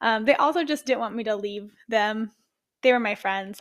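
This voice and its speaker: A woman with a Midwestern US accent and a fairly high pitch speaks at a moderate pace with ordinary pitch variation in a very clean recording with a silent background. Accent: US Midwest. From Ohio. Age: 20s. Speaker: fitness coach and podcast host. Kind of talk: solo podcast monologue.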